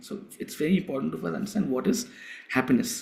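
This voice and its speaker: A man with a South Indian accent and lively intonation. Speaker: spiritual teacher. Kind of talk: lecture.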